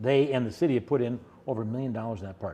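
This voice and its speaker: Here a man speaks at a very fast pace. His medium-pitched voice has a dark, mellow tone. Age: 60s. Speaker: mayor. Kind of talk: interview. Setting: recording in a borrowed creative space. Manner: hesitant, many fillers and repetitions.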